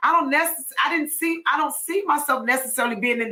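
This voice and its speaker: A woman's raised, projected voice comes across with a bright, sharp tone and an animated tone. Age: 50s. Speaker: podcast host. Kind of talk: casual chat.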